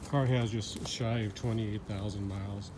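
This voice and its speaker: With noticeable background noise and audible room echo, a man talks in a fairly low pitch with monotone, flat intonation. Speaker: car seller. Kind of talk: product walkaround video.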